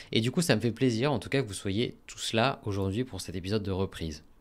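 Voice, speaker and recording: A man's voice with ordinary pitch variation, in a very clean recording with a silent background. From France, Normandy. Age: 30s. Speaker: podcast host, marketing consultant. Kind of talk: solo podcast monologue. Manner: casual, hesitant with many fillers.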